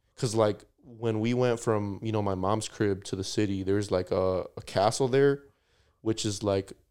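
On a very clean recording with a silent background, an unremarkable speaking voice with an American accent moves at a moderate pace with fairly even intonation. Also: man, fairly low pitch for a man. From United States, Mexican family. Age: 20s. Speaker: podcast guest. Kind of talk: casual chat.

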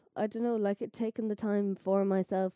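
A woman with an Irish accent, her tone dark and mellow, her intonation fairly even, in a dry, close sound with no echo. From Ireland. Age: 20s. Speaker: podcast host's girlfriend. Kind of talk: casual chat.

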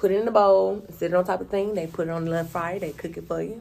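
A woman talks very fast while noticeable background noise plays. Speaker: radio show co-host. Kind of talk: casual chat.

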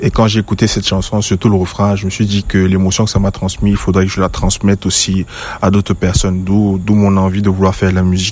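A man talks at a very fast pace. His fairly low voice is monotone, with flat intonation. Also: very even loudness. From western Cameroon. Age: 20s. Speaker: musician. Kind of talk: recorded interview answers.

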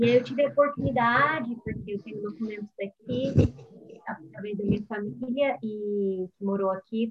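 A woman has an ordinary speaking voice, fairly high in pitch with ordinary pitch variation. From Brazil, São Paulo state. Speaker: singer and YouTuber. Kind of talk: casual interview.

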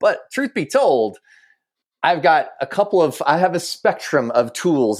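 A man talks at a moderate pace with very wide pitch swings and vocal fry. The recording is very clean, with a silent background. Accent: American. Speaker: podcast host. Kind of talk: casual conversation.

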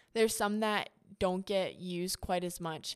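Speaking at a moderate pace, a woman with an American accent has a medium pitch. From Ohio, US Midwest. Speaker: nonprofit founder. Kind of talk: interview.

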